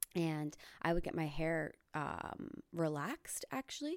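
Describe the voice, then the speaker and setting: Very clean, silent-background recording of a woman with a very deep, low voice. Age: 20s. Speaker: podcast host and comedian. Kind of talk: casual chat.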